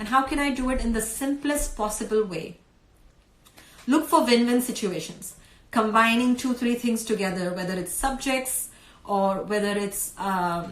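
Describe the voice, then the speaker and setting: The speaker talks at a moderate pace. Pitch variation is ordinary. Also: woman, fairly high pitch for a woman. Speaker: homeschooling mother and blogger. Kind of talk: live stream talk. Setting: live video stream. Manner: hesitant, many fillers.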